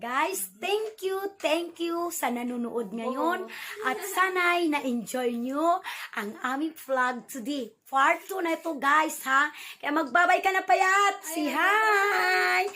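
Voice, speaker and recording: A woman's extremely high voice at a very slow pace with very wide pitch swings. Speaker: vlogger. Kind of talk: casual vlog. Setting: at home indoors. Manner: soft-spoken.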